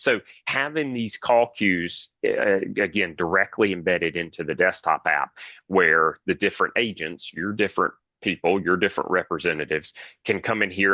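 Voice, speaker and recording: Over a quiet background, a man with a bright, sharp tone and very deep, low pitch speaks at a moderate pace with ordinary pitch variation, in a dry, close sound with no echo. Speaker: webinar presenter, phone systems. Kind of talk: webinar presentation.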